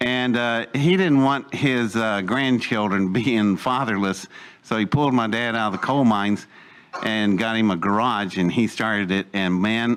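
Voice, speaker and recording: A man speaks with an Appalachian accent at a medium pitch. His pace is moderate. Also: ordinary pitch variation. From West Virginia (Welch, coalfields). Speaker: storyteller recounting life story. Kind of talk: personal storytelling talk to audience.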